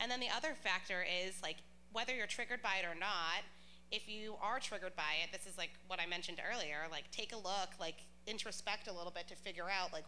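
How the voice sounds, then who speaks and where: Loud, very fast speech with ordinary pitch variation and audible room echo. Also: woman, medium pitch for a woman. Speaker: panelist. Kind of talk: panel discussion.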